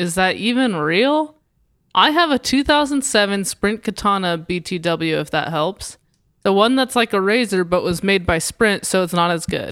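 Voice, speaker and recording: A woman with a normal speaking voice talks at a moderate pace and medium pitch with lively intonation. The recording is very clean with a silent background. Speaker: podcast co-host. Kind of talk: comedic casual banter, satirical podcast.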